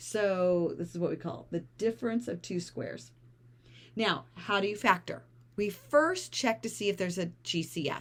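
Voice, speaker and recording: A woman's medium-pitched voice with vocal fry, lively intonation and a moderate pace. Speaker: math teacher. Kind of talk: tutorial.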